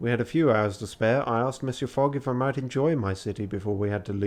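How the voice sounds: The speaker reads in a natural voice. Pitch varies in an ordinary way.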